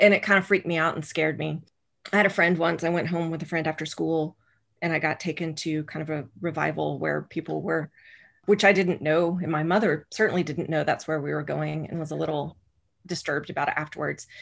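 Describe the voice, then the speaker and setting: A woman speaks with a very deep, low pitch and vocal fry at a fairly quick pace. Her intonation is fairly even, and the recording is very clean with a silent background. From rural Oklahoma. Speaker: scholar of religion and educator. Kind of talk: casual interview conversation.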